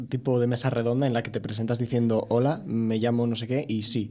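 The speaker goes at a fairly quick pace with monotone, flat intonation. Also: man. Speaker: podcast co-host. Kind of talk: casual chat. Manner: halting.

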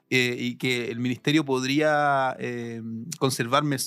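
Speaking at a fairly slow pace, a man with a Chilean accent has a bright, sharp tone and a monotone, flat intonation. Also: very clean recording, silent background. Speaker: seminary student. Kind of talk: testimony. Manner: halting.

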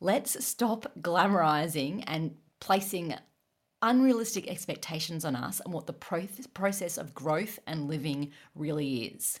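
Lively intonation from a woman with an Australian accent, fairly low in pitch, at a fairly slow pace, on a very clean recording with a silent background. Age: 30s. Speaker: running coach and podcast host. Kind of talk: casual chat.

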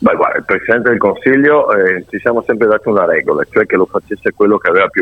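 There is noticeable background noise. Through it, a man can be heard talking. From Verona, Italy. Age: 40s. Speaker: politician. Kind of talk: interview.

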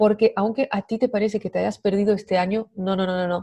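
With a French accent, a woman speaks at a fairly quick pace in a medium pitch and fairly even intonation, in a dry, close sound with no echo. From France. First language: French (speaking Spanish). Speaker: women's coach. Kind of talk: interview podcast.

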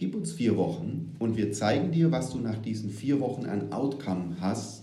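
Over noticeable background noise and audible room echo, a man talks at medium pitch with lively intonation. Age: 30s. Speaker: agile transformation consultant. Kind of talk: casual interview.

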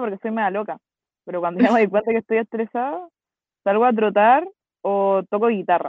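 With a Chilean accent, a woman talks at a fairly quick pace in a fairly high pitch, using ordinary pitch variation. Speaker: podcast co-host. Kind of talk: casual chat.

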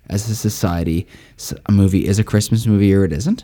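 A man speaks with a dark, mellow tone. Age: 30s. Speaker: podcast co-host and academic researcher. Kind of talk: casual chat.

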